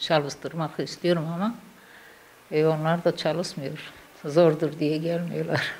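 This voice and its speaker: A woman talks very slowly, with long, frequent pauses. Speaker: weaving instructor. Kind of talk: interview answer. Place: workshop. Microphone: handheld.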